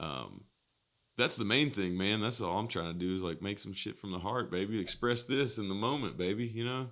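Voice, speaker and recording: On a very clean recording with a silent background, a man with a Southern accent speaks at a fairly quick pace and fairly low pitch, his tone bright and sharp, with ordinary pitch variation. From US South, East Nashville, Tennessee. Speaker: musician. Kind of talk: casual chat. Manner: animated.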